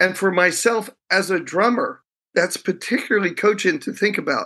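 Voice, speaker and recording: The voice is raised and projected, bright and sharp in tone, at a moderate pace with ordinary pitch variation over a quiet background. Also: man. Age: 60s. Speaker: professor and leadership researcher. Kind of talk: interview conversation.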